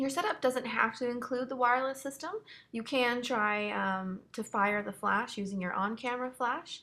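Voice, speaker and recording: A woman with a Canadian accent speaks at a moderate pace in a high voice with a bright, sharp tone and ordinary pitch variation. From Canada, Hamilton Ontario. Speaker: photographer. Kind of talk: tutorial.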